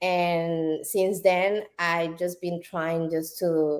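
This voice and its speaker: Someone speaks with a Puerto Rican accent on a very clean recording with a silent background. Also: woman. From Puerto Rico. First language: Spanish. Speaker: business owner. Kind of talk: interview. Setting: live stream. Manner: halting.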